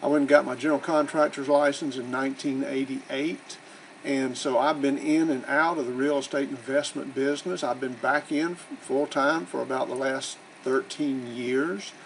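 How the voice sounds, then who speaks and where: Amid noticeable background noise, a man with an American accent speaks at a moderate pace and a fairly high pitch. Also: fairly even intonation. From US South. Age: 60s. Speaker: real estate investor and educator. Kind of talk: promotional self-introduction. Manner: casual, conversational.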